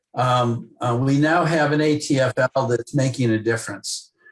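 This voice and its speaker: A man talks at a fairly slow pace in a medium pitch. His voice is somewhat breathy. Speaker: former ambassador, president of a policy task force on Lebanon. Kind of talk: radio interview answer.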